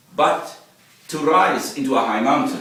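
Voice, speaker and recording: Noticeable background noise and audible room echo are present. Through them, a man talks at a fairly slow pace. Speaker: motivational speaker. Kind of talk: presentation.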